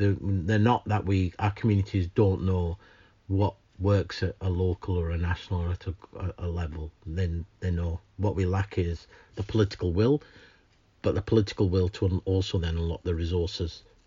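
A man speaks in a Lancashire accent with a very deep, low pitch. His voice is somewhat breathy and his intonation fairly even. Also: moderate pace. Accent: northern English (Lancashire). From northern England, Lancashire. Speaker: climate justice campaigner. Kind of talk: interview. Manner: halting with repetitions.

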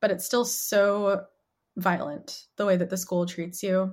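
Here a woman speaks with an American accent in an unremarkable speaking voice, at a medium pitch and a moderate pace. The recording is very clean, with a silent background. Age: 20s. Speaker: writer and activist. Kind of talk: casual interview.

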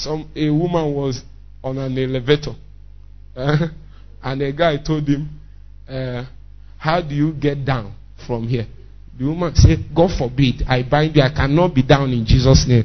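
A man with a strong Nigerian accent speaks at a moderate pace and a fairly high pitch. He leaves long, frequent pauses. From Nigeria, Igbo area (Nnewi). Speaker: pastor. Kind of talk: sermon. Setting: church. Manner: animated.

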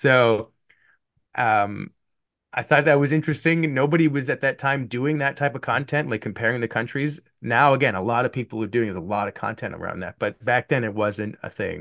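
At a fairly quick pace, a man with an unremarkable speaking voice talks at medium pitch with ordinary pitch variation, in a dry, close sound with no echo against a quiet background. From Canada. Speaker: YouTuber and video editor. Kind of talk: casual interview chat. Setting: video call.

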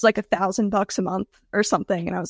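A woman talks at a medium pitch with vocal fry and fairly even intonation. The recording is very clean, with a silent background. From US South, Georgia. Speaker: web agency founder. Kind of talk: interview.

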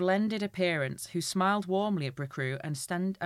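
What we hear is plain reading aloud.

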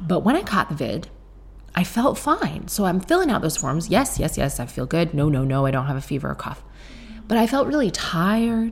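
A soft-spoken woman talks at a moderate pace. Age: 30s. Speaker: podcast host. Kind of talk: casual chat. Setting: home kitchen.

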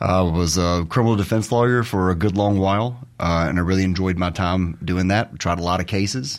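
With a Mississippi accent, a man speaks at a very deep, low pitch with ordinary pitch variation. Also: very clean recording, silent background. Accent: US South (Mississippi). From Mississippi (Terry). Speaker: lawyer for a state public safety department. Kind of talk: radio interview.

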